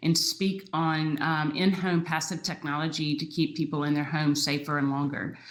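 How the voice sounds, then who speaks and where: A woman with a slight Southern US accent speaks fairly quickly in a very deep, low pitch. Her intonation is monotone and flat, and the room echo is audible. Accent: slight Southern twang. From US South, Aiken, South Carolina. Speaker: entrepreneur, startup co-founder. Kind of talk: panel discussion.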